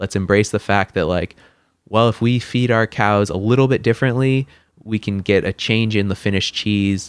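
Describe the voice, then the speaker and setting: A man with an American accent has an unremarkable speaking voice in a fairly low pitch. He talks at a moderate pace with fairly even intonation against a quiet background. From Washington State, US (Lynden). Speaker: chef. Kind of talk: casual interview.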